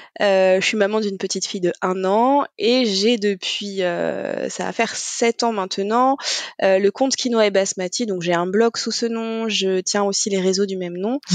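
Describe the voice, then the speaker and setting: At a fairly slow pace, a woman speaks with medium pitch and fairly even intonation. The sound is dry and close with no echo, though noticeable background noise is present. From Normandy, France. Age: 30s. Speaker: food blogger and nurse. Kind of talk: interview.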